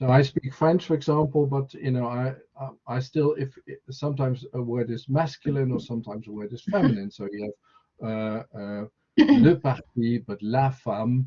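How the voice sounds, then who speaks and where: This is a man with a Dutch accent. His pitch is medium. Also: ordinary pitch variation, moderate pace. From Netherlands. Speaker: university lecturer. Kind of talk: online information session. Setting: video call.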